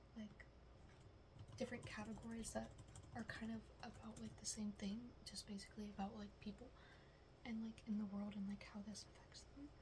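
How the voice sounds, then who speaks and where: A soft-spoken woman talks at a moderate pace. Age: 20s. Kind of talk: ASMR roleplay, soft-spoken classmate project talk. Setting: quiet room with typing sounds. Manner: soft-spoken, casual, hesitant.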